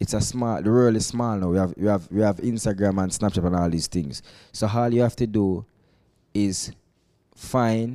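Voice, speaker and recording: In a Jamaican accent, a man talks at a fairly low pitch with ordinary pitch variation and a dark, mellow tone, recorded very cleanly over a silent background. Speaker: reggae and dancehall artist. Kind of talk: casual interview.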